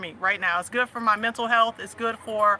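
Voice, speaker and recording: A woman with a Southern US accent talks at a fairly quick pace amid noticeable background noise. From US South. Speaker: livestream host and faith/family coach. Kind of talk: casual livestream chat.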